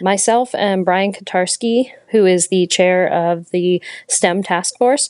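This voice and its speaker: In a dry, close sound with no echo and a quiet background, a woman with a normal speaking voice talks at a medium pitch with ordinary pitch variation. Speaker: young professionals panel organizer in water industry.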